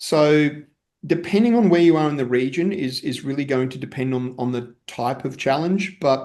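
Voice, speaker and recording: Speaking at a fairly slow pace, a man with an Australian accent uses a fairly high pitch and ordinary pitch variation. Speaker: technology executive, storage company CTO. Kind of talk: panel discussion.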